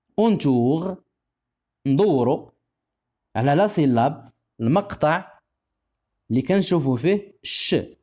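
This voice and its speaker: Speaking very slowly with long, frequent pauses, a man with a Moroccan accent keeps a fairly high pitch, lively intonation and very even loudness. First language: Moroccan Arabic (speaking French). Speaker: primary school French teacher. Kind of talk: tutorial. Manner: slow, repetitive enunciation.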